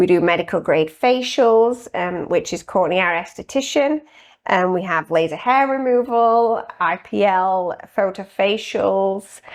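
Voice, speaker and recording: Speaking with a British accent at a fairly slow pace, a woman uses lively intonation at medium pitch over a quiet background. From UK. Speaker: registered nurse and spa owner. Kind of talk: podcast interview.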